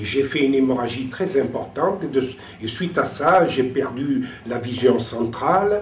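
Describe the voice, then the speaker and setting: A man's fairly slow delivery at medium pitch, ordinary pitch variation, audible room echo and noticeable background noise. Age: 60s. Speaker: retired civil servant, visually impaired. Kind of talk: testimony. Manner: halting, repeats words.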